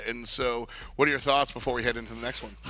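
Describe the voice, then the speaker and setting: Very fast and bright, sharp in tone, a man speaks at a medium pitch with vocal fry. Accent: American. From New York. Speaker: esports commentator. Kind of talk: live commentary. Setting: studio. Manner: animated.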